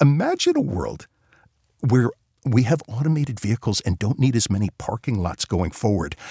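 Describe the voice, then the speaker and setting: This man has an American accent and a medium pitch, a little breathy. His intonation is lively and his pace moderate. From New York area. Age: 50s. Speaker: economics professor. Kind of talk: interview.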